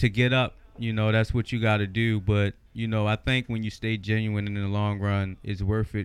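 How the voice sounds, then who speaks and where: A man's fairly low voice stays flat and monotone as he speaks at a moderate speed. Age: 30s. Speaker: rapper. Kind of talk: casual chat. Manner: laid-back.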